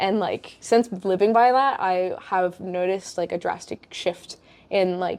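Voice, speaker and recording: Speaking at a fairly slow pace, a woman uses an unremarkable speaking voice of medium pitch with fairly even intonation. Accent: American. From USA. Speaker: podcast host. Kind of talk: casual chat. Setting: in person.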